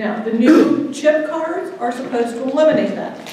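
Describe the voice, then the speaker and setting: A woman speaks with ordinary pitch variation amid strong room echo and light background noise. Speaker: guest, attorney. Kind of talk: lecture. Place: hall. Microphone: camera far.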